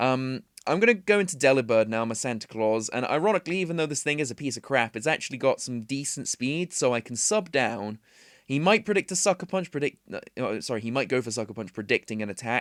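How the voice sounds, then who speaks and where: A man with a British accent talks at a very fast pace, medium in pitch, with lively intonation. The sound is dry and close with no echo, on a very clean recording with a silent background. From Britain. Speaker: gaming commentator. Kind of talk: gameplay commentary. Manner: casual, filler-heavy.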